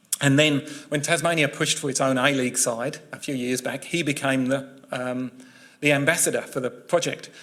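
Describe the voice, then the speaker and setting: The speaker talks at a fairly quick pace in a southern English accent, keeping a monotone, flat intonation. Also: man, fairly high pitch for a man. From England, West Sussex. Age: 50s. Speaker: journalist. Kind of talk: public talk. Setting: talk with live audience.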